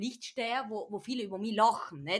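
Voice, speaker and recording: On a very clean recording with a silent background, a woman with a South Tyrolean accent speaks at a moderate pace, her fairly high voice showing ordinary pitch variation. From South Tyrol, Bolzano. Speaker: podcast guest. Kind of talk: casual chat.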